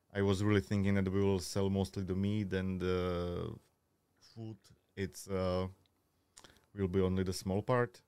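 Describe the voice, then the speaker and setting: In a Slovak accent, the voice has a dark, mellow tone and monotone, flat intonation, moving at a moderate pace with long, frequent pauses. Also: man, very deep, low pitch for a man. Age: 30s. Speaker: butcher and grill cook. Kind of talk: casual chat. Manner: halting.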